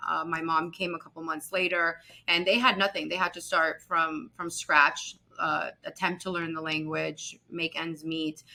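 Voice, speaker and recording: Her intonation monotone and flat, a woman talks with a Spanish accent. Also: fairly low pitch for a woman, moderate pace. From US, raised in a Colombian household. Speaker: real estate executive. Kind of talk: interview.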